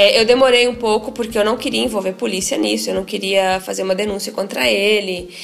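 A woman at a medium pitch with ordinary pitch variation, a fairly quick pace and hardly any pauses, against noticeable background noise. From Paraná interior, Brazil. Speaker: lawyer and author. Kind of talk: interview testimony.

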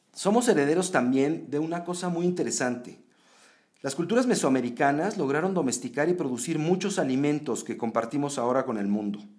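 A man talks at a fairly quick pace with lively intonation. His pitch sits fairly high, and room echo is audible. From Mexico. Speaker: podcast host. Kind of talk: scripted narration; interview.

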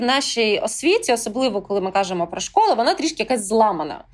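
A woman talks very fast, and her pitch swings very widely. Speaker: podcast host. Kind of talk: interview.

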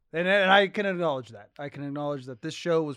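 At a very fast pace, a man talks in an animated tone with ordinary pitch variation. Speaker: podcast host. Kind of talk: casual podcast chat. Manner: animated, profane.

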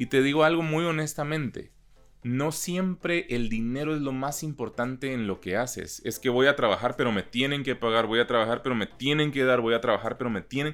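Music plays in the background as a man talks at a fairly quick pace and medium pitch with ordinary pitch variation. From Guatemala, Chiquimula (east). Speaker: voice-over announcer. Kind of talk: interview.

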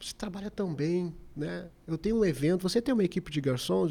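This man talks at a moderate pace. His tone is dark and mellow. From Porto Alegre, southern Brazil. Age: 40s. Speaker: restaurant owner. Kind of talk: interview.

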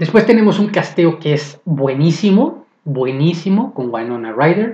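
Speaking with a Mexican accent, a man sounds somewhat breathy, moving at a fairly slow pace with very wide pitch swings. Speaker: podcaster. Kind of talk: casual monologue. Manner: sarcastic tones.

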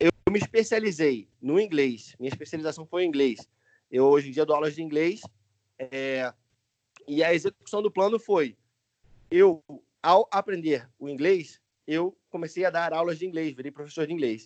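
With long, frequent pauses, a man talks at a moderate pace in a fairly high pitch with ordinary pitch variation, the sound dry and close with no echo. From Brazil, Niterói (Rio de Janeiro). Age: 20s. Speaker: English teacher and YouTuber. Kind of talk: casual interview.

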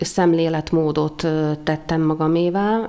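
Over noticeable background noise, a woman with a fairly low pitch talks at a fairly slow pace. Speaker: university dean. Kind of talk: interview.

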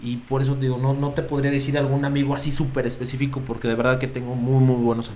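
A man's very fast, monotone delivery with flat intonation, audible room echo and noticeable background noise. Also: medium pitch for a man, hardly any pauses. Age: 30s. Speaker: podcast co-host. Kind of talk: casual chat.

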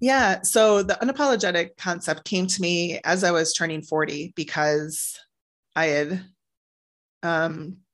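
Against a quiet background, a woman with an ordinary speaking voice talks at a fairly slow pace and a fairly low pitch, with ordinary pitch variation. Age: 40s. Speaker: author and publisher. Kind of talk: personal testimony interview.

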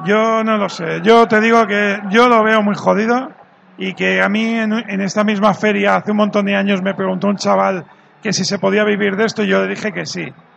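A man speaks at a moderate pace in a high, flat monotone over noticeable background noise. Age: 40s. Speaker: magazine editor-in-chief. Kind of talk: live panel discussion. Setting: stage with audience at a games fair.

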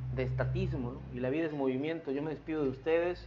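There is audible room echo around this man. He speaks fairly quickly. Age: 40s. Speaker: podcast host. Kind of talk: solo monologue podcast.

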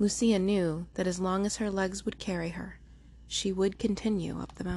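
The intonation stays fairly even. It is a natural reading voice.

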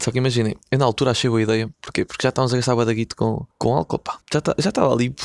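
A man speaks very fast at medium pitch with a European Portuguese accent. The sound is dry and close, with no echo. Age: 20s. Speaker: podcaster. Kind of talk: casual chat. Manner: animated.

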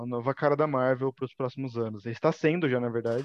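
A man talks with a Brazilian accent. His pitch is medium, with ordinary variation. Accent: countryside Brazilian. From Brazilian countryside (interior). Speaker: Star Wars YouTuber. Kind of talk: casual chat.

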